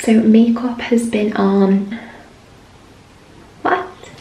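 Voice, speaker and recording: Quiet and fairly high in pitch, a woman speaks over noticeable background noise with audible room echo. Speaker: beauty vlogger. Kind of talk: product review vlog.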